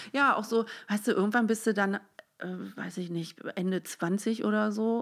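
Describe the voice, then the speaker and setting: This is an unremarkable speaking voice with fairly even intonation and a moderate pace. The background is silent, and the recording is very clean. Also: woman. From Netherlands and Germany, grew up bilingual. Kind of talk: casual conversation.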